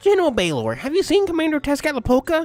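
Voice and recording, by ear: A put-on character voice rattles along at a very fast pace and a high pitch.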